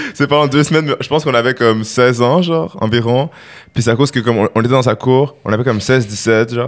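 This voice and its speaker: A man at a medium pitch and very fast pace, with ordinary pitch variation and very even loudness. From Quebec, Longueuil (Montreal area). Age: 20s. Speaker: rapper. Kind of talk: casual chat. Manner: animated.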